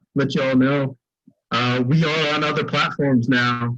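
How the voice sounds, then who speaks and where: With music in the background, a man in an American accent talks with fairly even intonation. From US, central New Jersey. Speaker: podcast co-host. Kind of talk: casual chat.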